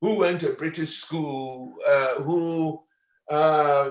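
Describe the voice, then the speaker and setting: Audible room echo surrounds a man with a fairly high voice as he speaks at a very slow pace. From Ghana. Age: 70s. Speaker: professor. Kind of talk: lecture. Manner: halting.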